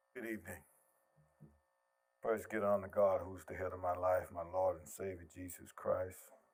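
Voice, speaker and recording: A man with an American accent speaks at a moderate pace in a very deep, low, somewhat breathy voice. His loudness swings widely, and he takes long, frequent pauses. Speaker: minister speaking at public forum. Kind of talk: public comment, preacher style. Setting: public meeting, packed room with mic. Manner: animated, preachy.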